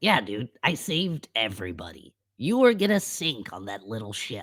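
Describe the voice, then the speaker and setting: A man puts on a raspy character voice at medium pitch. His pitch swings very widely, and the recording is very clean with a silent background. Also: moderate pace. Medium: actual play. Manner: casual, slangy, calls others dude.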